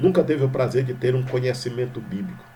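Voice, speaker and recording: A man speaks in a Maranhão accent. Room echo is audible. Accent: Maranhão accent, drawling Portuguese. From Brazil, Maranhão. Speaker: pastor. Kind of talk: sermon. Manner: informal, conversational.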